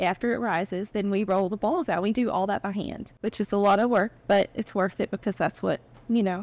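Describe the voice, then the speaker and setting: Fairly even intonation marks an ordinary speaking voice moving at a fairly quick pace. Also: woman, dry, close sound with no echo. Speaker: bakery worker. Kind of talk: interview.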